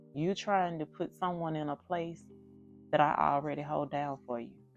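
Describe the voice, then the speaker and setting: Music plays behind a woman as she talks. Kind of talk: faith talk to camera. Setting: phone recording. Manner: slow.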